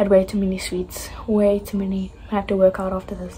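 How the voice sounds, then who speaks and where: Light background noise behind a woman speaking. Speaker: vlogger. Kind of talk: casual vlog chat. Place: home room. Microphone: phone near.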